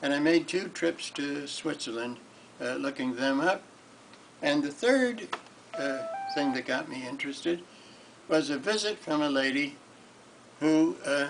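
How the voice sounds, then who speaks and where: Speech comes at a fairly slow pace with long, frequent pauses. Music plays in the background. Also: man, fairly high pitch for a man, ordinary pitch variation. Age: 80s+. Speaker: amateur genealogist. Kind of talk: recorded talk on family history.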